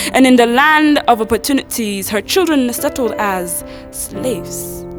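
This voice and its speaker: With music in the background, a woman speaks using lively intonation. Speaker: spoken word poet. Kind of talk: poetry reading.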